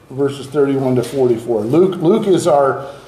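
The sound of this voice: The clip holds an unforced reading voice.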